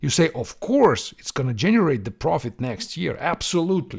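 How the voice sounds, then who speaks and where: The speaker has a Russian accent and a moderate pace. The pitch swings very widely. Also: man. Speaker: software developer podcast host. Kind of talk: Q&A podcast monologue.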